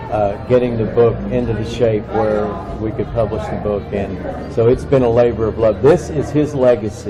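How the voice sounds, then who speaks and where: A man with a fairly low voice speaks at a moderate pace and ordinary pitch variation, with crowd noise in the background and audible room echo. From Kentucky. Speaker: book publisher. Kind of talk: interview.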